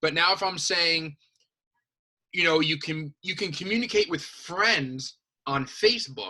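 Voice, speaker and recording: Speaking at a moderate pace, a man uses a high pitch, an animated tone, a bright, sharp tone and ordinary pitch variation. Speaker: high school teacher. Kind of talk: lecture.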